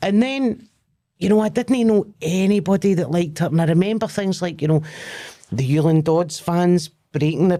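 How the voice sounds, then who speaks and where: At a moderate pace, a woman speaks in a fairly low pitch with a dark, mellow tone. Her pitch varies in an ordinary way and her loudness stays very even. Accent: Glaswegian. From Scotland, Lanarkshire near Glasgow. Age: 40s. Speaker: comedian. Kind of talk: casual chat.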